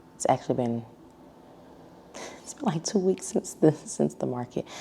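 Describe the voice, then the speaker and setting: A woman with an American accent speaks in a very deep, low voice with a dark, mellow tone. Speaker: small business owner vlogger. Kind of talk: casual vlog recap. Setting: at home. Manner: soft-spoken.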